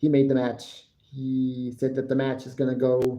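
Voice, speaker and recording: Speaking at a fairly slow pace, a man with an American accent has a medium pitch and a dark, mellow tone. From United States. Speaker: wrestling podcaster and live streamer. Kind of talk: live stream commentary and review. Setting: live stream.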